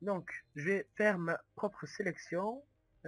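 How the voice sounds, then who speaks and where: Music plays in the background as a man speaks in a dry, close sound with no echo. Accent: Toulouse. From Toulouse, southwest France. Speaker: gaming youtuber. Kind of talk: gameplay commentary. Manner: halting, many hesitations.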